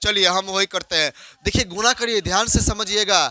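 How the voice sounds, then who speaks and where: A man projects a raised voice, recorded with a dry, close sound and no echo. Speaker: school maths teacher. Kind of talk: classroom lecture. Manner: slow, repetitive explanation.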